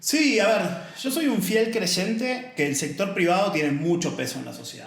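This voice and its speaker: In an Argentine accent, a man speaks at a high pitch, with very wide pitch swings and big swings in loudness. Audible room echo and noticeable background noise surround him. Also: moderate pace. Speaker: author and diversity advocate, former accountant. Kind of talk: casual podcast interview.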